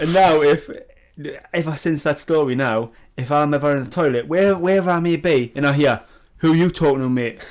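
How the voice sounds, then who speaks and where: Speaking at a fairly quick pace, a man with a Geordie accent has a fairly high pitch and ordinary pitch variation. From northern England, Newcastle. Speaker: podcast co-host. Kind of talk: casual chat. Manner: animated.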